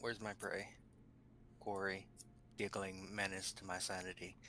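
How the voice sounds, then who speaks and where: A put-on character voice, mumbling at a moderate pace in a monotone, flat intonation over clear background noise. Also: man, fairly low pitch for a man. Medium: actual play. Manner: low mumbling.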